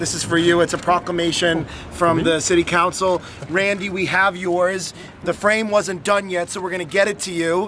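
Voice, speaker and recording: A man with a high voice speaks at a moderate pace in a flat monotone, the sound dry with no echo and light background noise behind him. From Massachusetts. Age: 30s. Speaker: city politician. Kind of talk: public speech. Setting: outdoor event with audience. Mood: warm, celebratory. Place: street. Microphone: phone near.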